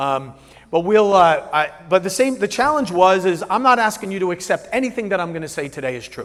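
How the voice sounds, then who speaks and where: This man's pitch is high and his intonation lively. He talks at a fairly quick pace. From New Jersey. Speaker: business coach and keynote speaker. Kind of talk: keynote presentation. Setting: stage with live audience. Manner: moderate, even delivery; casual, halting with many fillers.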